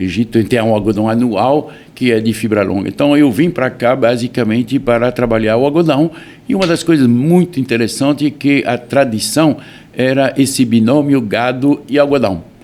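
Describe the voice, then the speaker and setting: Against noticeable background noise, a man with a medium pitch speaks at a moderate pace with very even loudness and ordinary pitch variation. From France. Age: 70s. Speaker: farm owner and businessman. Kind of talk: interview.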